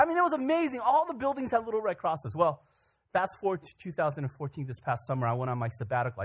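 A somewhat breathy male voice with very wide pitch swings at a fairly quick pace. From Korea, raised in US from childhood. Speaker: pastor. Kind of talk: sermon. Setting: church.

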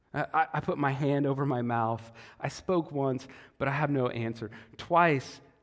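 The voice reads in an unforced reading voice with ordinary pitch variation.

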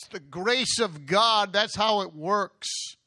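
A man's raised, projected voice, bright and sharp in tone, at a very slow pace. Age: 60s. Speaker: guest preacher. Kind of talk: sermon. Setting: church. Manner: animated.

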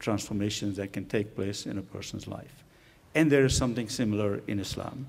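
At a moderate pace, a man talks at medium pitch with ordinary pitch variation. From Pakistan. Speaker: guest preacher. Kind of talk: sermon. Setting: church.

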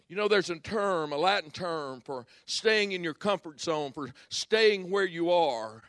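With lively intonation and a high pitch, a man speaks at a fairly slow pace in a dry, close sound with no echo and a quiet background. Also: big swings in loudness. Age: 60s. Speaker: guest pastor and former lawyer. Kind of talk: sermon. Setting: church conference with audience. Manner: animated.

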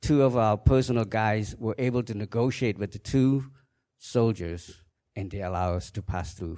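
Against a silent background in a very clean recording, the speaker talks fairly slowly with a Khmer accent and ordinary pitch variation. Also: man. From Cambodia. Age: 50s. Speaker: church member giving testimony. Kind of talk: testimony. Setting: church.

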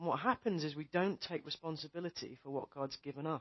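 The speaker has a British accent. The delivery is very fast. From England. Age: 40s. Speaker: missionary preacher. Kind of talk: sermon.

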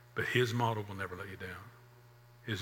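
The speech comes at a very fast pace. Audible room echo surrounds it. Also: man. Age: 60s. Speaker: pastor. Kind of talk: sermon.

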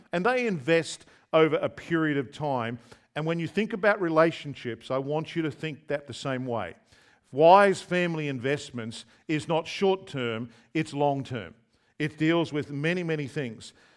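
Speaking with an Australian accent, a man with a fairly high pitch uses lively intonation at a moderate pace. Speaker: visiting preacher. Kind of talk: sermon. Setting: church.

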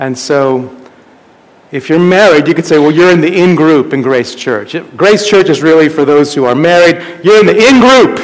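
A man talks with lively intonation at a fairly high pitch. Noticeable background noise and audible room echo surround him. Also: moderate pace. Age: 40s. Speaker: pastor. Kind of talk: sermon.

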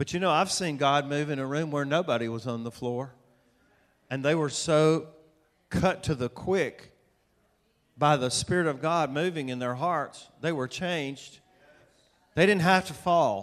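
With a Southern US accent, a man with a fairly high pitch speaks with ordinary pitch variation and long, frequent pauses. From US South, Atlanta, Georgia. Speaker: preacher, author. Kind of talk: sermon. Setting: church with audience.

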